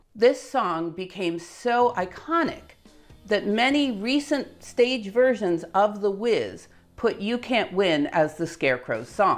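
A woman speaks at a very slow pace with faint music in the background. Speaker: educational video host. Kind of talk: explainer commentary. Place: home room.

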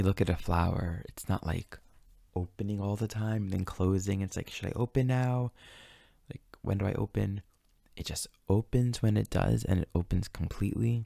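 The voice has a dark, mellow tone that is calm and gentle, with fairly even intonation. The sound is dry with no echo, over a quiet background. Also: man, fairly low pitch for a man. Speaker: astrology teacher and meditation guide. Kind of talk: guided meditation and spiritual teaching. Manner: calm, slow, gentle, reflective. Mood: calm, gentle, reflective. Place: home room. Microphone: studio mic.

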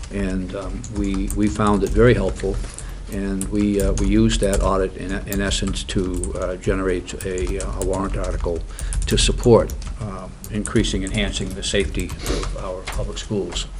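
At a moderate pace the speech goes on, with light background noise underneath. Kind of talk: meeting report. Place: meeting room. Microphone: podium.

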